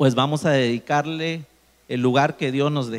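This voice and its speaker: Speaking at a fairly slow pace, the man keeps his intonation fairly even. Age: 30s. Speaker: engineer and motivational speaker. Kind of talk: testimony.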